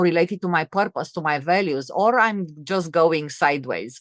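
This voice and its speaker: A woman with a Romanian accent speaks at a moderate pace with a fairly low pitch and lively intonation, in a very clean, dry, close recording with a silent background and no echo. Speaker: entrepreneur and author. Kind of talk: interview conversation. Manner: halting, many fillers and restarts.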